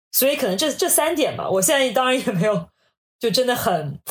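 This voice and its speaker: A somewhat breathy woman at a very fast pace, with very wide pitch swings. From China, Hangzhou. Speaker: management consultant. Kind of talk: casual interview chat.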